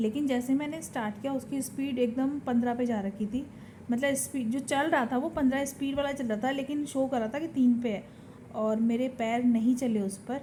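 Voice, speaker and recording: A quiet woman with a high pitch speaks at a moderate pace with fairly even intonation. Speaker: vlogger. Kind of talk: casual vlog talk. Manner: quiet in public, louder at home.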